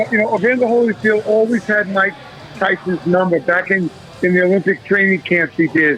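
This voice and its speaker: The speech moves at a fairly quick pace with very even loudness while music plays in the background. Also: man, high pitch for a man, ordinary pitch variation. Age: 60s. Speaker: boxing figure. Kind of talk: casual chat.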